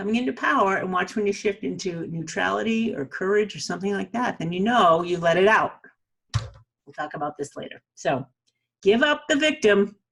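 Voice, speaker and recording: A woman with a New England accent talks at a fairly quick pace with big swings in loudness. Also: medium pitch for a woman, lively intonation. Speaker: self-help video host. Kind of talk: motivational talk to camera. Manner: casual, conversational.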